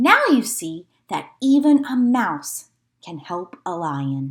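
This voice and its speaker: Very slow and fairly high in pitch, a female-sounding put-on character voice makes very wide pitch swings. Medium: read story.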